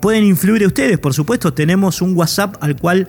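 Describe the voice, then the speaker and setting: Noticeable background noise sits behind this recording. A man talks with ordinary pitch variation. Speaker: radio host. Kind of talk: radio music program presentation.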